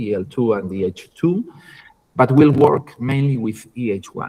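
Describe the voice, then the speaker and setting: A man with a medium pitch and a dark, mellow tone speaks with a Spanish accent. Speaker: university lecturer. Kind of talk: online lecture. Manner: halting, many fillers and repetitions.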